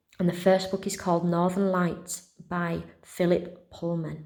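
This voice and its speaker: A woman with a West Yorkshire accent, a dark, mellow tone and a fairly slow pace, plus audible room echo. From West Yorkshire, England. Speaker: primary school teacher. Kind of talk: casual talk to pupils. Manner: friendly, chatty.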